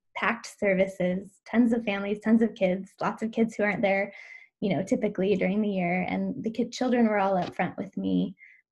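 A somewhat breathy woman with an American accent talks at a fairly quick pace and fairly even intonation. The background is quiet. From US Pacific Northwest (Washington). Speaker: educator and parent coach. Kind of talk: interview conversation.

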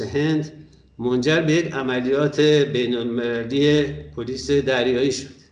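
Audible room echo surrounds a man's voice. His intonation is fairly even and his pace very slow. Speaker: podcast moderator on strategic affairs. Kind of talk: panel discussion moderation and prepared introduction.

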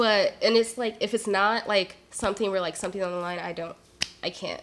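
A woman speaks at a fairly quick pace with a medium pitch, fairly even intonation and an ordinary speaking voice. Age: 20s. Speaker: podcast host. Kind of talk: casual interview chat.

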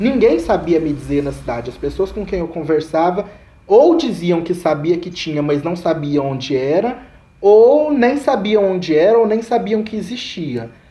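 Noticeable background noise is present. Over it, a man's pitch swings very widely. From Brazil, Goiás (Caldas). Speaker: master's student in communication. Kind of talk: casual chat.

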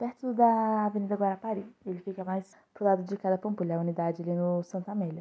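This woman has an unremarkable speaking voice, pitched in the medium range, with fairly even intonation. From Belo Horizonte, Brazil. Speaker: podcast guest. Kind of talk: casual chat.

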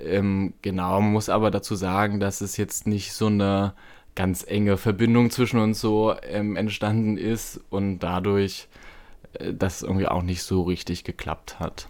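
Here a man speaks at a fairly low pitch and a fairly slow pace. His intonation is monotone and flat. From eastern Germany. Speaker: podcast host. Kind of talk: casual interview conversation.

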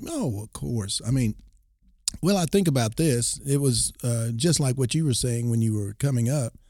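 A man's dark, mellow, somewhat breathy voice with an American accent. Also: medium pitch for a man, ordinary pitch variation, moderate pace. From Texas Panhandle, then Oklahoma. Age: 60s. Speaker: former college football player. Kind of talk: interview.

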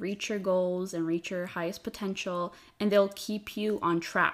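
An ordinary speaking voice moves at a fairly slow pace. The intonation stays fairly even. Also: woman. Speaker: podcast host. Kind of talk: casual chat, conversational podcast. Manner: playful, laughs often.

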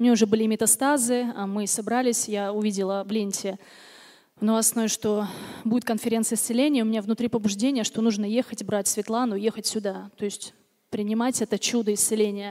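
Speaking at a fairly quick pace, a woman keeps a fairly high pitch in a monotone, flat intonation. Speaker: churchgoer giving testimony. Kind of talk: testimony. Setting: church service with congregation.

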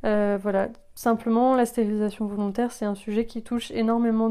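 The recording is very clean, with a silent background. A woman speaks at a moderate pace in a fairly high, monotone, flat voice. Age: 20s. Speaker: podcast host. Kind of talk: personal testimony. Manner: halting.

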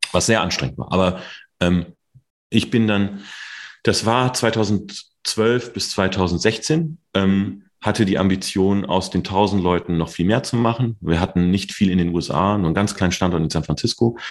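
A man talks at a moderate pace with a fairly low pitch and ordinary pitch variation. His speech has long, frequent pauses. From Ruhr area, Germany (Mülheim/Duisburg). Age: 40s. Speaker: tech entrepreneur and CEO. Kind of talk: interview. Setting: video call.

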